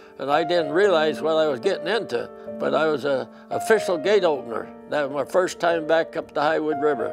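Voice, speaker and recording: A man talks with ordinary pitch variation while clear music sounds behind him. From British Columbia, Canada. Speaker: interviewee recalling his youth. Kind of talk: interview answer. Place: home room. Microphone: lapel.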